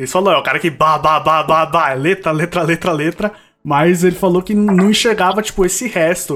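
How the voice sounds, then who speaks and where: Bright and sharp in tone, a man's high voice comes through a very clean recording with a silent background. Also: ordinary pitch variation, moderate pace. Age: 20s. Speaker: podcast co-host. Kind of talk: casual interview chat.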